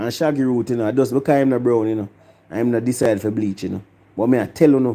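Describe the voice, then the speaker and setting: In a Jamaican accent, a man with a medium pitch and a dark, mellow tone talks at a very fast pace, captured in a very clean recording with a silent background. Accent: Jamaican patois. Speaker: music review vlogger. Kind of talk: opinion rant vlog. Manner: animated.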